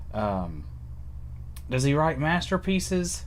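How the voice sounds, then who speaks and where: A man's voice with vocal fry and audible room echo. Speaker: writer livestreaming about creative process. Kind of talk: casual solo livestream talk. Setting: live stream with webcam at home. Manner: halting, with many fillers.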